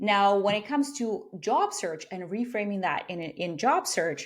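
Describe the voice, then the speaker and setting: A woman with a non-native accent takes a fairly slow pace. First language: not English. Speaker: career coach. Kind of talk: interview.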